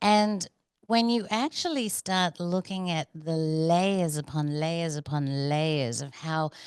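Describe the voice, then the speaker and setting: A woman's very deep, low voice with ordinary pitch variation, at a very slow pace, in a dry, close sound with no echo and a quiet background. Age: 50s. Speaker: documentary producer. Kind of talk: casual interview chat.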